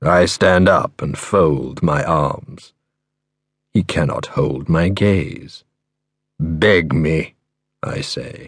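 In a calm, menacing tone, a man speaks very slowly with a very deep, low pitch and vocal fry, leaving long, frequent pauses. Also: ordinary pitch variation. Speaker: audiobook narrator. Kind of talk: dark first-person thriller narration, read aloud. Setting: studio. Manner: measured, chillingly calm and menacing; lingering, atmospheric delivery of grisly imagery.

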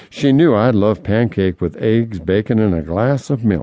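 Speaking at a moderate pace, a man uses a fairly low pitch and lively intonation in a normal speaking voice. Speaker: audiobook narrator and memoirist. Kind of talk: audiobook reading of a memoir, recalling a childhood train trip in vivid detail. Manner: descriptive, nostalgic, gentle storytelling.

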